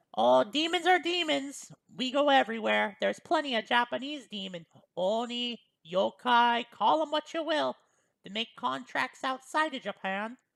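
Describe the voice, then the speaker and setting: A female-sounding voice talks in a put-on character voice, high in pitch. The pace is moderate. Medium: read story. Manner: casual, polite, starts sentences with well.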